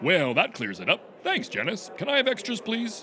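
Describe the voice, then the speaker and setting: A man with a high pitch puts on a character voice at a moderate pace, with clear background noise behind him. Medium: audio drama. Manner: deadpan.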